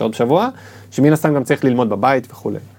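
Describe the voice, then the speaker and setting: This man's voice has a dark, mellow tone. His intonation is lively. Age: 40s. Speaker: admissions consultant. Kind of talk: interview.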